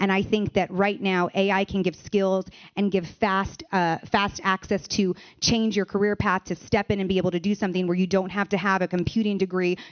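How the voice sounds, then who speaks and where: Speaking at a fairly quick pace with an American accent, a woman keeps a medium pitch, a flat, monotone intonation and very even loudness. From United States. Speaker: AI education founder. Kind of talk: panel discussion.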